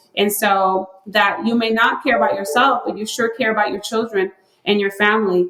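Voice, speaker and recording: A woman's medium-pitched voice at a moderate pace, with a Spanish accent. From Puerto Rico. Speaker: health researcher. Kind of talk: podcast interview.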